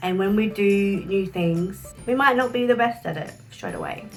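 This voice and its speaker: Music plays in the background as a woman speaks in an Australian accent. Her medium pitch shows ordinary pitch variation. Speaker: social work graduate. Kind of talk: casual talk to camera.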